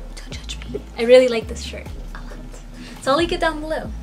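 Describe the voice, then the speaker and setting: The voice belongs to a woman. Music comes through clearly behind her. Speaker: beauty vlogger. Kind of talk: casual vlog chat. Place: home room.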